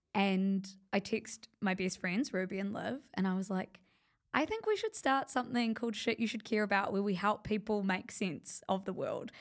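Speaking in a normal speaking voice, a woman keeps a moderate pace, medium pitch and ordinary pitch variation. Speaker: media company founder. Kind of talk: casual interview chat.

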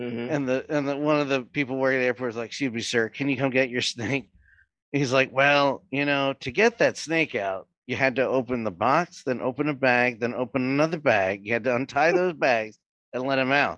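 A man speaks at a fairly quick pace in a medium pitch, with ordinary pitch variation against a quiet background. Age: 30s. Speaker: wrestling podcast host. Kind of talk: casual chat. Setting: live stream. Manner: animated.

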